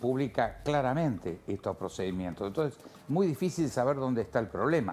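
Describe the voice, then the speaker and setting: The speech moves at a moderate pace with very wide pitch swings. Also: man. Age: 70s. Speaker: political analyst. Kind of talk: TV interview.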